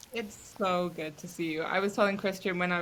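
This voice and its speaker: Female voice with vocal fry, fairly low pitch and a bright, sharp tone, delivered in a monotone, flat way at a moderate pace. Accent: British. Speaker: clinical therapist. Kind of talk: casual chat.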